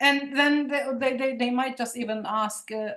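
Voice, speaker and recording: With a Turkish Cypriot accent, a woman talks at a fairly slow pace in a high pitch and fairly even intonation, with audible room echo around her. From Cyprus, Nicosia (Turkish Cypriot). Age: 40s. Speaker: poet and ethnographer. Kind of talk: guest lecture. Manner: halting, many repetitions.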